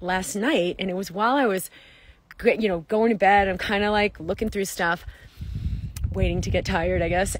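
A woman speaks at a moderate pace, and the sound is dry with no echo. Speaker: wellness coach. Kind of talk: casual vlog chat. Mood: enthusiastic, upbeat. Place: open country. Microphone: phone near.

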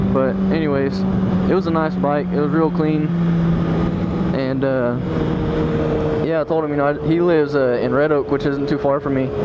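Loud background noise sits under the speech. The speaker keeps a moderate pace with long, frequent pauses. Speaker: motorcycle vlogger. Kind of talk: casual vlog chat. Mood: excited, relaxed. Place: motorbike. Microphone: helmet.

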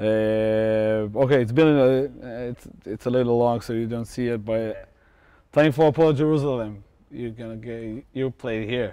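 A man with an Israeli accent speaks at medium pitch in a dark, mellow tone. His pace is fairly slow, his intonation fairly even, and the background is quiet. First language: Hebrew. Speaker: fan show host and interpreter. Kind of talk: live-stream interview with translation.

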